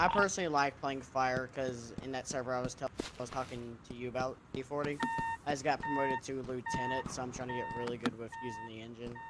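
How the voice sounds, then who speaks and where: Against noticeable background noise, a man with an American accent talks at a very fast pace, using a medium pitch and fairly even intonation. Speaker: gamer in roleplay server. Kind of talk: casual chat.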